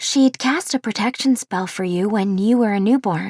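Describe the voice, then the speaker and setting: In a put-on character voice, a female-sounding speaker with a warm, gentle tone and medium pitch talks at a moderate pace over a very clean recording with a silent background. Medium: read story.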